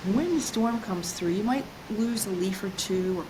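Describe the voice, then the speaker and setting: A woman talks at a medium pitch while noticeable background noise is present. Audible room echo also colours the recording. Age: 60s. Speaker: self-esteem coach. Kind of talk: interview.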